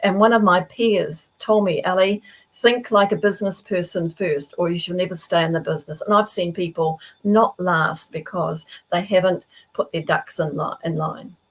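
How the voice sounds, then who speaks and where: Medium-pitched woman's voice in a New Zealand accent, moderate pace, ordinary pitch variation. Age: 70s. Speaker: professional speaker and author. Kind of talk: interview. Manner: animated.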